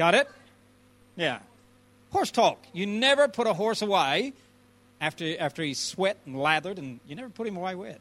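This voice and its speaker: In an animated tone, a man with an American accent speaks at a high pitch with very wide pitch swings, at a moderate pace. He takes long, frequent pauses on a very clean recording with a silent background. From Alabama, US South. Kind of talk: casual chat.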